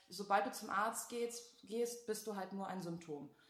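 This woman talks at a fairly slow speed. Her recording carries audible room echo and noticeable background noise. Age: 20s. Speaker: patient. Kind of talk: testimony in casual interview.

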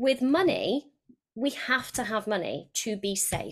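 A woman speaks with a British accent and ordinary pitch variation. The recording is very clean, with a silent background. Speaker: podcast guest and coach. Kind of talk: casual interview chat.

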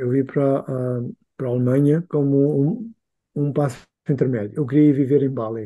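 At a moderate pace, a man talks with a fairly high pitch, ordinary pitch variation and a dark, mellow tone. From Angola. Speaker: freelance designer. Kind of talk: casual chat. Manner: halting.

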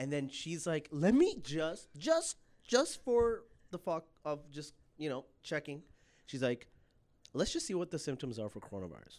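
An animated man, fairly high in pitch with very wide pitch swings, at a moderate pace with long, frequent pauses, in a very clean recording with a silent background. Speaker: podcast co-host. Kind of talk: casual chat.

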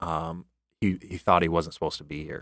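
A man talks at a very deep, low pitch in an American accent. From US Midwest. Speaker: missionary. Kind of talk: casual chat. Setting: studio.

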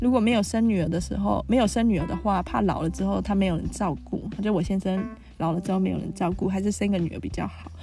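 The speaker has a Taiwanese accent and talks at a fairly quick pace. Music plays in the background. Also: woman. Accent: Taiwanese Mandarin. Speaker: podcast host. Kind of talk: casual monologue. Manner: chatty, many fillers.

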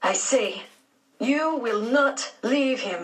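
A woman puts on a raspy character voice, high in pitch. Her intonation is lively. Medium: read story. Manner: simple phrasing, gentle.

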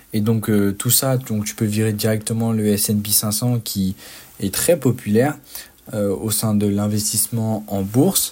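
Through noticeable background noise, a man with a fairly low pitch speaks very slowly with fairly even intonation. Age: 20s. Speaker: student entrepreneur podcaster. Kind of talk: solo podcast monologue. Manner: halting, many fillers.

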